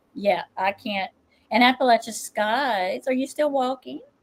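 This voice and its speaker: An unremarkable speaking voice from a woman, fairly slow, with lively intonation. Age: 50s. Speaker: tarot reader and livestream host. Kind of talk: casual chat.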